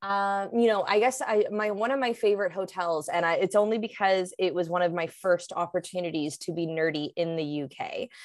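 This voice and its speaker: Heard in a very clean recording with a silent background, a woman with a Canadian accent uses a plain, everyday voice at medium pitch, talking fairly quickly with hardly any pauses and ordinary pitch variation. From Canada, Vancouver. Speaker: hospitality consultant. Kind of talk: interview.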